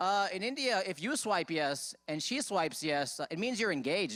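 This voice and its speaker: Over noticeable background noise, a man with an American accent swings his pitch very widely. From United States. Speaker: stand-up comedian. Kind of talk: stand-up.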